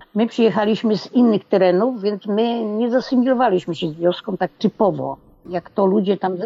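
A fairly quick pace carries an ordinary speaking voice. Its pitch variation is ordinary. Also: woman. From Poland, small village. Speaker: retiree, mother of LGBT child. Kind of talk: interview.

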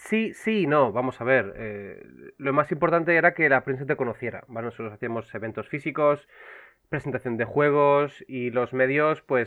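A man with a fairly high pitch. He talks at a moderate pace with ordinary pitch variation. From Canary Islands (Las Palmas). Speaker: video game publisher co-founder and marketing director. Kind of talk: casual interview chat.

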